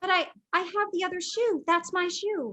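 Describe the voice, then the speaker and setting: A woman puts on a squeaky character voice with an extremely high pitch. She keeps a moderate pace and ordinary pitch variation. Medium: stage play.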